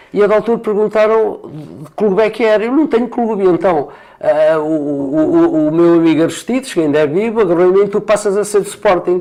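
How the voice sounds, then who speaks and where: The voice has a dark, mellow tone and lively intonation. Its loudness stays very even at a fairly quick pace. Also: man, high pitch for a man. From central Portugal, Condeixa near Coimbra. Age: 70s. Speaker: retired retail director and author. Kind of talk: interview conversation. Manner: halting, with many fillers.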